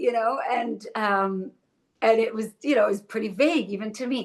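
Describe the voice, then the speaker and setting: Her intonation is lively as this woman talks at a moderate pace. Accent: Israeli. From Israel. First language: Hebrew. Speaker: actress. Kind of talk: interview. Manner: halting.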